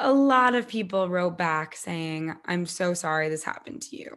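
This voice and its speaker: With an American accent, a woman talks in a plain, everyday voice. Her pitch is fairly low and her pace fairly slow. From US Northeast (Connecticut). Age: 20s. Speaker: author. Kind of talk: interview.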